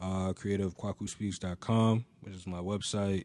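Delivery is fairly slow, with a monotone, flat intonation. The recording is very clean, with a silent background. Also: man. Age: 20s. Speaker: music industry intern and brand co-founder. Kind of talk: casual chat. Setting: studio.

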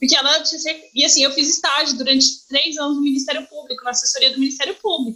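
Raising and projecting her high-pitched voice, a woman talks at a very fast pace over noticeable background noise. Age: 30s. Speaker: journalist. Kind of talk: casual chat. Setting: video call.

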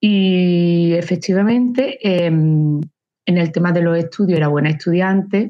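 A woman with an unremarkable speaking voice talks fairly slowly in a fairly low pitch, with ordinary pitch variation and very even loudness. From Andalusia, Córdoba. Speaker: engineer and teacher. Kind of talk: interview.

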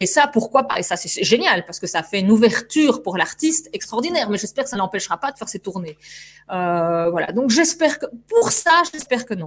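A woman's fairly high voice at a fairly quick pace, with very wide pitch swings and big swings in loudness. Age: 40s. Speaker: actress and stage director. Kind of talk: interview. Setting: studio.

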